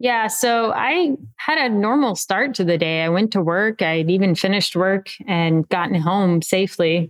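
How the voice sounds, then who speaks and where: A woman with an American accent talks at a medium pitch with lively intonation, very even loudness, and hardly any pauses. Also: moderate pace. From Texas. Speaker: athlete and adaptive advocate. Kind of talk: interview testimony. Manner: nonchalant.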